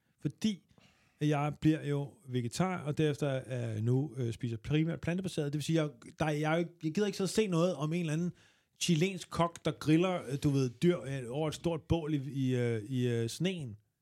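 In a very clean recording with a silent background, a man with a dark, mellow tone talks at a fairly slow pace, his fairly high pitch showing ordinary variation. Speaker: comedian. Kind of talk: casual chat.

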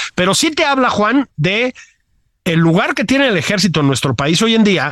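A man talks at a moderate pace with very wide pitch swings. The sound is dry and close, without echo. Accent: Mexican. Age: 50s. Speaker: political commentator, podcast co-host. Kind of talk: casual political chat.

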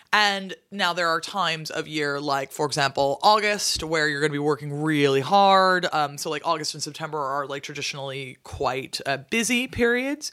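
A woman speaks at a moderate pace with hardly any pauses, her very deep, low voice bright and sharp in tone, her intonation lively, on a very clean recording with a silent background. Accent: American. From US Pacific Northwest (Seattle). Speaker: medieval historian. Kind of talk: casual chat. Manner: animated.

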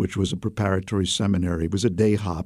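In a Brooklyn accent, a man talks at a fairly quick pace with a fairly low pitch, a dark, mellow tone and fairly even intonation, on a very clean recording with a silent background. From US Northeast, Brooklyn, New York City. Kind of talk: interview. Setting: studio.

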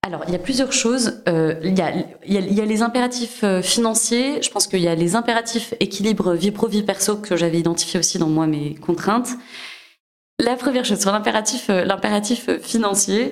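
At a moderate pace, a woman speaks with a medium pitch, ordinary pitch variation and very even loudness. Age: 30s. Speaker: entrepreneur, former consultant. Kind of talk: interview testimony. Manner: hesitant, many fillers and repetitions.

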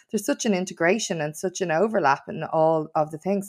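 Very deep and low-pitched, a woman's voice moves at a moderate pace with fairly even intonation in a very clean recording with a silent background. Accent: Dublin. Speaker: nail salon owner and podcast presenter, nightlife campaigner. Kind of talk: interview conversation.

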